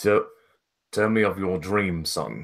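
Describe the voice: A man puts on a character voice at a fairly low pitch with fairly even intonation. The recording is very clean with a silent background.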